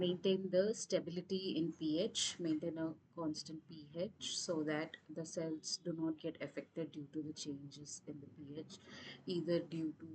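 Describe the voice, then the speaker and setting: Fairly low in pitch and somewhat breathy, a woman speaks slowly-ish at a fairly slow pace with fairly even intonation. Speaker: teaching assistant. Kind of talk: online tutorial session.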